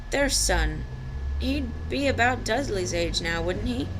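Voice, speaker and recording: A woman mumbles in a put-on character voice at a fairly slow pace. Loud background noise runs underneath. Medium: read story. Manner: hesitant, mumbling.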